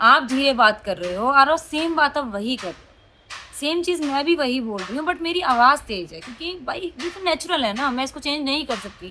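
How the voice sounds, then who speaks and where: Raising and projecting her voice over noticeable background noise, a woman speaks at a moderate pace in a high pitch, with very wide pitch swings and big swings in loudness. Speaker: vlogger. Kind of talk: casual vlog talk. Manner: animated.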